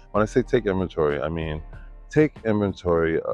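A man's lively intonation at a fairly quick pace, dry with no echo, with faint music in the background. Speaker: Buddhist practitioner. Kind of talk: interview answer. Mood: warm, earnest, reflective. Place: waterside.

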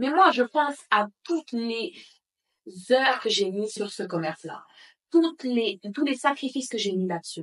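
Against a quiet background, a woman speaks fairly slowly with long, frequent pauses. Her high pitch moves in very wide swings. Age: 20s. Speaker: bakery owner and entrepreneur; guest. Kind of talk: casual interview. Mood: reflective, earnest. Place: home room.

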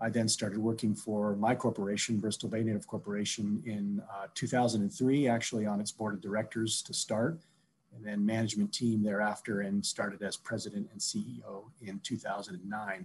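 With an Alaskan accent, a man speaks at a fairly low pitch. He keeps a moderate pace. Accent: Alaskan American English. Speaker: Alaska Native corporation CEO. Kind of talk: panel discussion. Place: home room. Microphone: video call.

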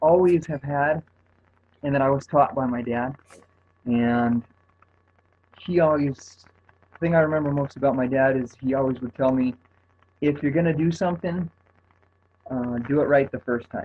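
A soft-spoken man talks at a moderate pace with ordinary pitch variation. He leaves long, frequent pauses over light background noise. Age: 30s. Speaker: fitness coach. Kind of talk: testimony. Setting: conference call. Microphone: phone line.

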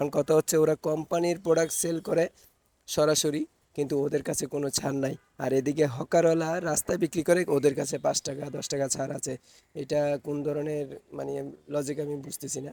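A man's fairly high, dark and mellow voice in a monotone, flat intonation, dry and close with no echo. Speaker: vlogger. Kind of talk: casual vlog talk.

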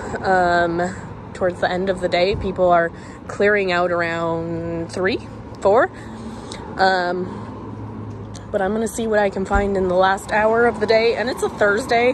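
Noticeable background noise behind a woman's medium-pitched voice. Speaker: reseller. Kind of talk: casual thrift vlog narration.

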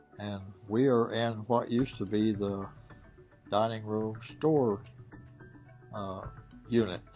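Over faint background music, a man talks at a fairly low pitch with ordinary pitch variation. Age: 80s+. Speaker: former prisoner. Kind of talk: interview answer. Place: shop.

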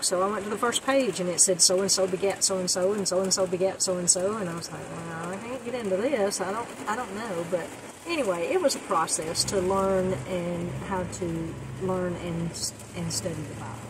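Noticeable background noise surrounds a woman talking. She moves at a fairly quick pace with ordinary pitch variation. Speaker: van life vlogger. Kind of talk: personal testimony vlog. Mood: reflective, sincere storytelling. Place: car. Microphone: lapel.

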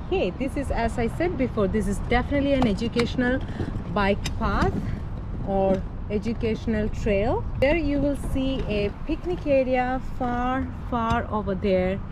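With clear background noise behind her, a woman talks at a moderate pace in a fairly high pitch with ordinary pitch variation.

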